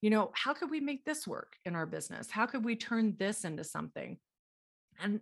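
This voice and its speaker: Against a quiet background, a woman with an American accent uses a normal speaking voice at medium pitch, her intonation lively. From Texas, Dallas. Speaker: small business owner. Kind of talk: interview. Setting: podcast interview.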